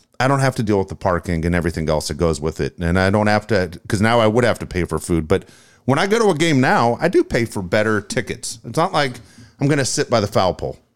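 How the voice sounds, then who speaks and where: A man with a fairly low voice talks very fast in an American accent, his pitch swinging very widely. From Tennessee, US South. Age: 50s. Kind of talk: casual chat.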